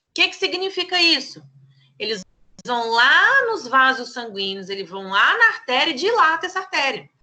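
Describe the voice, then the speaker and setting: A woman speaks in a raised, projected voice at a high pitch, bright and sharp in tone. Her pitch swings very widely and her loudness shifts a lot, at a moderate pace. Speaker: pharmacy teacher. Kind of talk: lecture.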